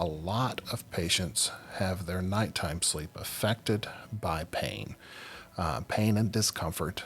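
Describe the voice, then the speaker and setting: A man speaks at a very slow pace. His voice is very deep and low. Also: ordinary pitch variation. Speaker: sleep podcast host. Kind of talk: podcast monologue. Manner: halting, many fillers.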